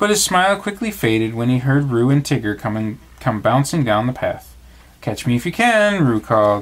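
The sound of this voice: The clip features an unforced reading voice. It is read aloud throughout.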